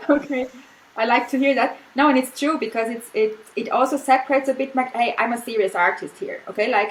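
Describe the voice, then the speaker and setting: A woman with a German accent, high-pitched and fairly quick, over noticeable background noise. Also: ordinary pitch variation. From Austria. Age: 40s. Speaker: artist. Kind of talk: casual chat. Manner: halting.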